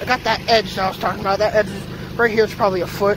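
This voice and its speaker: Noticeable background noise runs under the speech. The sound itself is dry, with no echo. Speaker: hobbyist vlogger. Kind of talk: casual vlog chat. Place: garden. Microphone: phone near.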